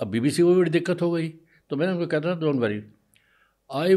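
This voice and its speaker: Lively intonation runs through the voice. Its tone is dark and mellow. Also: man. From India. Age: 80s+. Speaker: veteran journalist, news agency founder. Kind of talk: interview answer.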